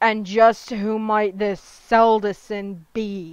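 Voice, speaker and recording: Growling in a put-on character voice, a woman at a medium pitch speaks at a very slow pace with monotone, flat intonation against a quiet background. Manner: savage, growling.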